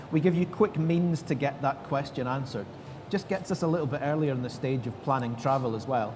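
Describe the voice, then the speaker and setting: A fairly quick, somewhat breathy man's voice, fairly high in pitch with ordinary pitch variation, in a Scottish accent. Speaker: tech developer advocate. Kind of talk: panel interview.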